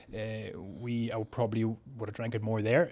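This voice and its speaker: A man with a strong Northern Irish accent speaks in a fairly low pitch. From Northern Ireland, County Tyrone. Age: 40s. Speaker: chef. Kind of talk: casual chat. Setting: studio.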